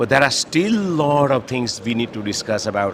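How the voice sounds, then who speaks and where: A man speaks fairly quickly while noticeable background noise fills the recording. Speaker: network architect. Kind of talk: interview. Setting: conference floor. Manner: fast.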